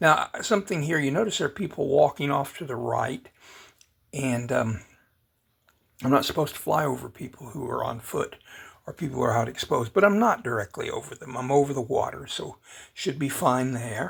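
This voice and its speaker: A man speaks fairly quickly at a fairly high pitch, with lively intonation and vocal fry. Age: old. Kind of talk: casual drone video narration. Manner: hesitant, rambling.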